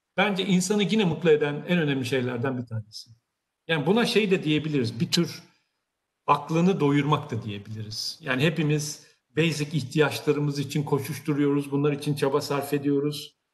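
A man's somewhat breathy voice at fairly high pitch, ordinary pitch variation and a moderate pace against a quiet background. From Turkey. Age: 60s. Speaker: technology company CEO; guest. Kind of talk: career talk to online audience. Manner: hesitant, many filler sounds. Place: office. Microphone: video call.

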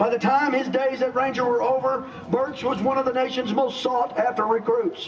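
An extremely high-pitched man over noticeable background noise. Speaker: stadium announcer. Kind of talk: ceremony announcement. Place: stadium. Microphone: pa.

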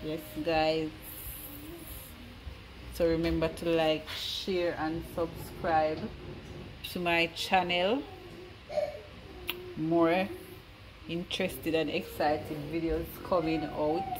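A woman with a fairly low pitch speaks at a very slow pace in a flat monotone, leaving long, frequent pauses while noticeable background noise runs behind her. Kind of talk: casual vlog chat. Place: kitchen. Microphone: phone near.

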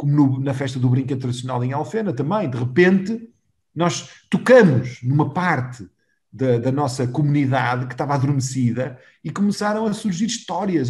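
Somewhat breathy, fairly high-pitched male speech over a quiet background. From Portugal, Valongo (Porto area); Portugal. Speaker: mayor; interview guest, local mayor. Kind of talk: interview. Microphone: video call.

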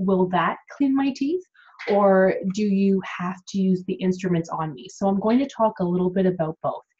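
The woman's voice is somewhat breathy, with a dark, mellow tone. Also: quiet background. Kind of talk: informational explainer vlog. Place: home room. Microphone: webcam.

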